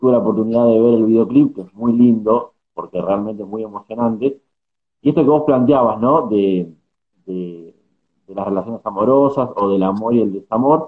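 In a normal speaking voice, a man keeps a moderate pace. The pitch sits at a medium level and varies in an ordinary way. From Argentina. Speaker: journalist and podcast host. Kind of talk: interview.

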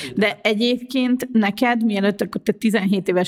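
Noticeable background noise runs under this clip. A woman speaks at medium pitch. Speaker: podcast host, journalist and wheelchair user. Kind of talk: casual chat.

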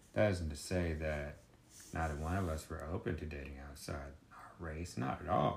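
A man speaks at a moderate pace in a very deep, low voice with vocal fry and fairly even intonation. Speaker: host's husband, guest. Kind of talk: casual conversation.

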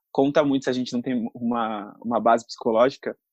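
A man speaks in a normal speaking voice at a medium pitch and a moderate pace. The background is quiet, and the sound is dry and close with no echo. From Brazil, São Paulo city. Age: 20s. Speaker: actor and influencer. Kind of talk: casual interview.

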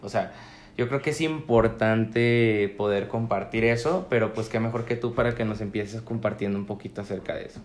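A man speaks with an ordinary speaking voice at medium pitch. His intonation is fairly even and his pace moderate. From Mexico, La Laguna region (Coahuila). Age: 20s. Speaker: law student and mental health activist. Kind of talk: casual chat.

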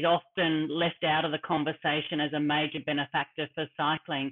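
This woman speaks in a very deep, low pitch with monotone, flat intonation and an Australian accent. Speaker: sports administrator and former professional cyclist. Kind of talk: interview.

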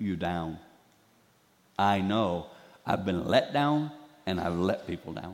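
Using long, frequent pauses, a man with a Southern US accent talks in a very deep, low pitch with lively intonation. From Carolinas, US South. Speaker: guest preacher. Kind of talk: sermon. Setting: church.

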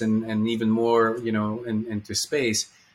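Medium-pitched male speech amid noticeable background noise. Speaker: podcast host. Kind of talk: interview conversation. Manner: halting.

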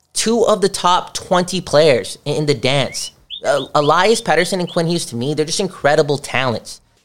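A man speaks at a moderate pace in a high-pitched voice, his tone animated and his pitch moving in an ordinary way. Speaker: podcast host. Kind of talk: casual chat.

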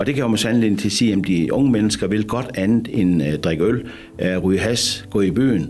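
Over noticeable background noise and audible room echo, a man speaks at a moderate pace in a fairly low voice, with ordinary pitch variation and very even loudness. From Denmark, rural Jutland. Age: 60s. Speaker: bathhouse manager. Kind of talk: radio interview. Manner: hesitant, many fillers.

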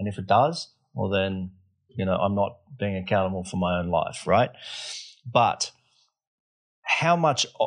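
In a quiet background, a man speaks with ordinary pitch variation and a plain, everyday voice. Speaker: podcast host. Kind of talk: casual interview chat.

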